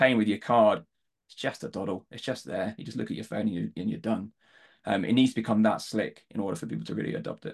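Against a quiet background, a man with a southern English accent speaks at a very fast pace with big swings in loudness. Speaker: fintech company co-founder and CTO. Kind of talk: podcast panel discussion.

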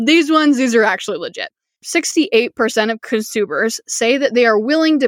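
Lively intonation and an animated tone come through in a dry, close sound with no echo. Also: woman. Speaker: podcast host, online business coach. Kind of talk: solo podcast monologue. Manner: fast.

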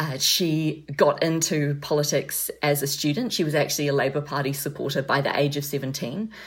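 A woman with a New Zealand accent, her pitch very deep and low, her intonation fairly even. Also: moderate pace. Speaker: freelance correspondent and author. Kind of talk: interview.

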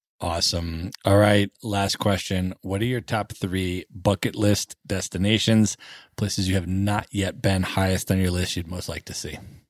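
In a very clean recording with a silent background, a man with an American accent speaks at a moderate pace in a very deep, low pitch with monotone, flat intonation. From United States. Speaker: podcast host. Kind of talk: podcast interview.

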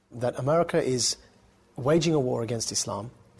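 A somewhat breathy man talks with ordinary pitch variation. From England, Essex. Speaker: former extremist turned counter-extremism activist. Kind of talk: interview.

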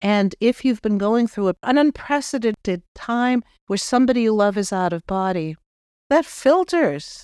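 Her pitch fairly high and her intonation lively, a woman with a Boston accent speaks at a fairly slow pace in a very clean recording that is dry and close, with no echo and a silent background. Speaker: spiritual medium and podcast host. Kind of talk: spiritual talk with guided reflection. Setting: office studio.

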